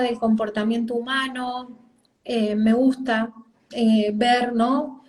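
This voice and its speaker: With monotone, flat intonation, the words come at a very slow pace. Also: woman. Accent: Argentine. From Argentina. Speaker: parenting coach. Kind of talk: interview. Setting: video call live stream.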